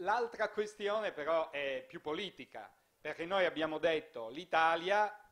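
Pitch variation is ordinary, and the pace fairly slow. The background is quiet. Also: man. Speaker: festival moderator. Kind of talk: moderated panel discussion. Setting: stage with audience. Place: hall. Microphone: handheld.

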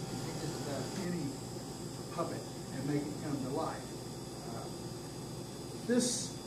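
A man talks at a moderate pace while loud noise fills the background. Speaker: presenter. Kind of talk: informal talk to a club meeting. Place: meeting room. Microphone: camera far.

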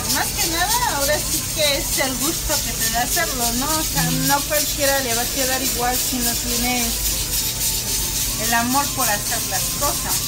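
A woman talks at a fairly slow pace with ordinary pitch variation. Clear music plays in the background. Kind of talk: interview answer. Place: kitchen. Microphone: phone near.

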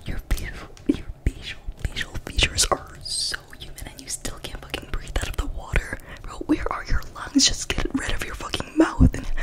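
Her words come out at a moderate pace. The woman speaks in a whisper. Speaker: ASMR creator. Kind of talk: ASMR roleplay, casual talk to camera. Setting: muffled as if through a fishbowl. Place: home room. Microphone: studio mic.

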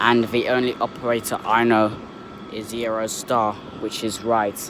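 Over noticeable background noise, a man talks with monotone, flat intonation, the sound dry with no echo. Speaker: trainspotting vlogger. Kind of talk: casual vlog chat. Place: station. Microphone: phone near.

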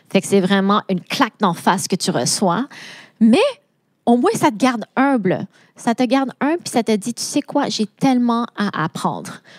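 With a Quebec accent, a woman talks at a fairly slow pace and a fairly high pitch. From Quebec, Laval. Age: 30s. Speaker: AI and data consultant. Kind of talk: interview.

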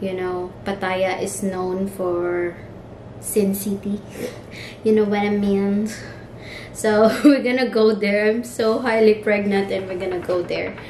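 A woman talks at a fairly slow pace with fairly even intonation. Audible room echo and light background noise are in the recording. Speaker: vlogger. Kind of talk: casual vlog chat. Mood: relaxed, cheerful. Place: home room. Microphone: phone near.

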